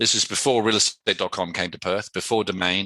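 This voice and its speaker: Very fast and fairly even in intonation, a man speaks with an English accent. His bright, sharp tone sounds dry and close, with no echo. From England. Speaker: entrepreneur. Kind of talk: interview. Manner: casual, conversational.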